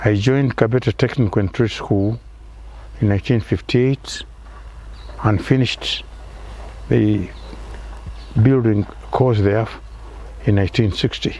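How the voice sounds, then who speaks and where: At a fairly slow pace with long, frequent pauses, a man speaks in a fairly low, somewhat breathy voice with a dark, mellow tone, fairly even intonation and very even loudness. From Kenya, Kiambu County. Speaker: retired engineer. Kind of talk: interview. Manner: halting.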